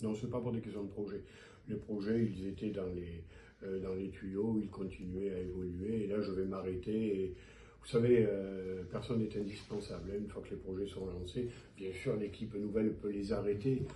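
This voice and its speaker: At a moderate pace, the voice comes across dark and mellow in tone, somewhat breathy, with monotone, flat intonation. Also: man, fairly low pitch for a man. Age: 70s. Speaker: mayor and physician. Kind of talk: interview answer.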